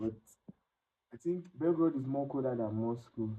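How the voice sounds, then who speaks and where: A man speaks with a Nigerian accent. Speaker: international student. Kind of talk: interview.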